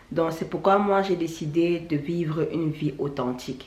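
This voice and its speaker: A woman speaks at a fairly slow pace in a fairly low pitch, with audible room echo and noticeable background noise. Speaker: YouTuber, natural hair vlogger. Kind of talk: vlog monologue. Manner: halting, repetitive.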